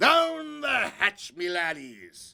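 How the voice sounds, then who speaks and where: Loud and bellowing, this is a put-on character voice. The pitch swings very widely. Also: man. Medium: read story. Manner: loud, bellowing.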